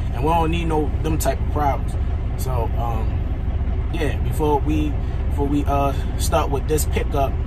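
A man keeps a moderate pace and ordinary pitch variation while loud background noise fills the clip. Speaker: truck driver vlogger. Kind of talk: casual vlog chat. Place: car. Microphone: phone near.

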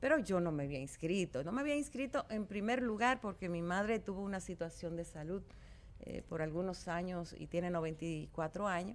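A woman's lively intonation at a moderate pace. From Dominican Republic. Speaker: politician. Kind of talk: interview. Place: studio. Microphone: studio mic.

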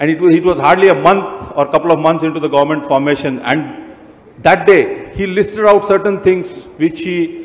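The man's voice is high, with an ordinary amount of pitch movement. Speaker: speaker. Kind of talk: formal speech. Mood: praising, enthusiastic. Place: stage. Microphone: handheld.

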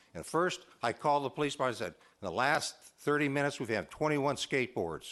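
The voice carries vocal fry and moves at a fairly quick pace. The background is quiet. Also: man. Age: 70s. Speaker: public commenter at city council. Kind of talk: public comment. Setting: city council meeting. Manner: halting, repetitive.

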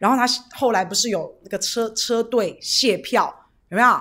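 A woman with a high pitch speaks in an animated tone against a quiet background. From Taiwan. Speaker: political livestream host. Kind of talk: livestream chat with viewers. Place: studio. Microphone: studio mic.

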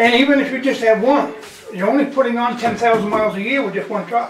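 The speech moves at a fairly quick pace, with light background noise and audible room echo. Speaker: resident raising road budget concerns. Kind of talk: public meeting discussion. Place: meeting room. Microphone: camera far.

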